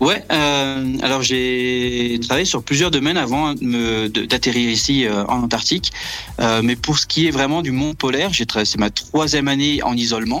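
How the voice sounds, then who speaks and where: The speaker talks at a fairly slow pace with ordinary pitch variation and very even loudness, over noticeable background noise. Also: man, medium pitch for a man. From Brittany, France. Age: 30s. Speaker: astrophysics research assistant. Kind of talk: radio interview. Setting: remote call from Antarctica.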